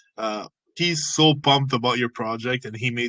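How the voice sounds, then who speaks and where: A man's bright, sharp tone with fairly even intonation, dry and close with no echo. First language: French. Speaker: AMA host. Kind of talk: casual interview chat.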